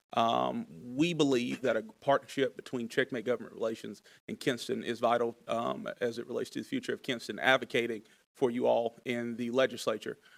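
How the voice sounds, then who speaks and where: A man with an eastern North Carolina accent at a fairly quick pace, dry and close with no echo, on a very clean recording with a silent background. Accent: eastern North Carolina Southern. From eastern North Carolina (Laurinburg, Scotland County). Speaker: lobbyist. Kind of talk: formal presentation to city council. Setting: city council meeting.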